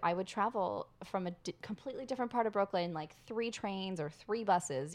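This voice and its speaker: A woman with a plain, everyday voice, medium in pitch, at a moderate pace against a quiet background. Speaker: podcast host. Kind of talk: casual chat. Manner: excitable.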